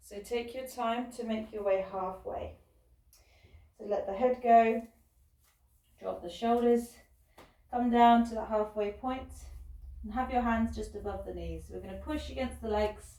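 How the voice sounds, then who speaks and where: A woman speaks at a moderate pace with long, frequent pauses and big swings in loudness. Room echo is audible. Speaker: fitness instructor. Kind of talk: guided workout class. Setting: recording alone, online class.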